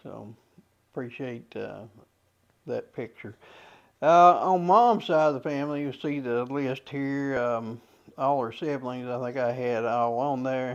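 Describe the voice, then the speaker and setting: A man with an Appalachian accent and medium pitch speaks at a fairly slow pace, leaving long, frequent pauses. His loudness swings widely while his pitch varies in an ordinary way. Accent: Clay County (Kentucky) Appalachian. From Clay County, Kentucky. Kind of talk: casual talk to camera. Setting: outdoors, windy. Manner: hesitant, many fillers.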